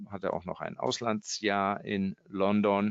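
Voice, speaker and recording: Against a quiet background, a man with a fairly low pitch speaks at a very slow pace. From Germany, Kassel (Hesse). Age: 50s. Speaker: art auction house executive. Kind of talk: interview. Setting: remote call. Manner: hesitant with fillers.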